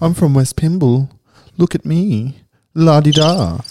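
A man's sing-song, put-on character voice at a fairly high pitch and fairly slow pace. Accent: Sydney. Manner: mocking, sing-song.

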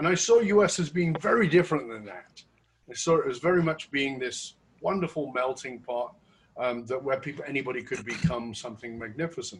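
A man with a fairly high voice talks at a fairly quick pace, his loudness swinging widely and his intonation lively, with a somewhat breathy quality. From Northern England. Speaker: podcast host. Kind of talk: interview.

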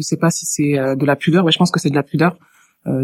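This woman has a very deep, low pitch. Her intonation stays fairly even. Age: 30s. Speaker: HR worker and marriage-help volunteer. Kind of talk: casual chat. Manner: hesitant with fillers.

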